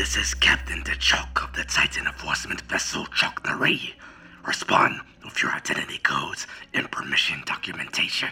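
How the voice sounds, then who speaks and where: Whispering in a put-on character voice, the speaker delivers the lines. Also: man, moderate pace. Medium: audio drama. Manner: formal, commanding, menacing.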